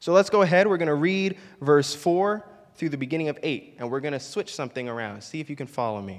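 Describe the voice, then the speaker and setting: A man's fairly high voice with lively intonation and big swings in loudness. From Florida, Puerto Rican family. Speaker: pastor. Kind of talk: sermon. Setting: church. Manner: halting, many fillers.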